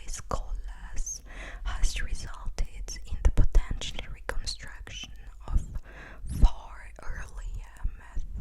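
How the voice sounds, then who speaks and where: A woman is whispering. There is noticeable background noise. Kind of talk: ASMR sleep reading. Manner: soft-spoken.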